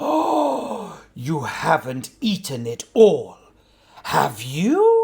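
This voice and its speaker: A put-on character voice sits at a middle pitch. Its delivery is very slow. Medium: read story. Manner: sheepish, hesitant.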